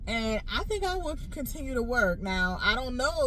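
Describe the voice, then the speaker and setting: A woman's lively intonation at a moderate pace, amid noticeable background noise and audible room echo. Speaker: nurse and vlogger. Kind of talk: casual vlog monologue.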